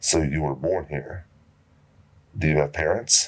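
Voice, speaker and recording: A man's voice carries vocal fry. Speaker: horror story narrator. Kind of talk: horror story narration.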